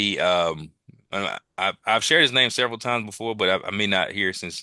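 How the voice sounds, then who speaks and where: With a Mississippi accent and a bright, sharp tone, a man talks at a fairly quick pace with ordinary pitch variation, the sound dry and close with no echo over a quiet background. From US South, Jackson, Mississippi. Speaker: military veteran. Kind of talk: interview conversation. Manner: halting.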